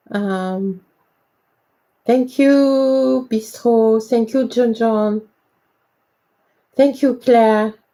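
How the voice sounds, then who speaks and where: In a French accent, the voice has a dark, mellow tone, fairly even intonation and a very slow pace. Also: woman, long, frequent pauses. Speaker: independent researcher and presenter on ancient Egypt. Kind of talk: live stream talk. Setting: live stream from home. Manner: halting, many hesitations.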